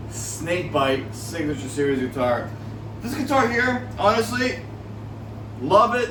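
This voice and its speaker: At a fairly slow pace with long, frequent pauses, a man speaks amid noticeable background noise and audible room echo. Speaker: guitar hobbyist YouTuber. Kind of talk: casual show-and-tell video. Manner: halting, many fillers.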